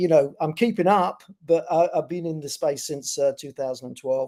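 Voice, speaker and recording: A man speaks at a moderate pace in a British accent, with a fairly high pitch and a dark, mellow tone. His intonation stays fairly even. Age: 60s. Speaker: bitcoin company executive. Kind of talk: interview. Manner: halting.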